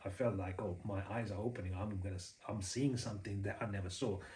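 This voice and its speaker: Somewhat breathy, a man with a Sri Lankan accent speaks at a fairly low pitch and fairly quick pace amid audible room echo. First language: Sinhala. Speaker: Buddhist preacher. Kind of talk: personal story monologue. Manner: hesitant, many fillers.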